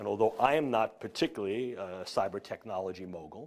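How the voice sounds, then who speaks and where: A man with a New York accent talks with lively intonation. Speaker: neuroscience professor. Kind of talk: lecture. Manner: formal.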